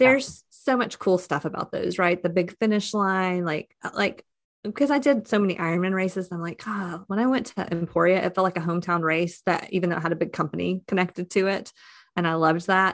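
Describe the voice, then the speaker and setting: A woman talks fairly quickly in an ordinary speaking voice, at a medium pitch with ordinary pitch variation. The background is quiet. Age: 40s. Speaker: podcast co-creator and gravel cyclist. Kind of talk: casual interview chat.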